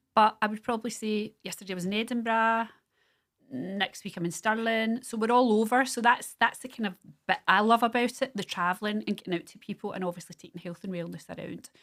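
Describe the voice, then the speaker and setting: On a very clean recording with a silent background, a woman with a Scottish accent talks at a very fast pace in a fairly high voice, with ordinary pitch variation and big swings in loudness. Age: 50s. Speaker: small business owner. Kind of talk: casual chat.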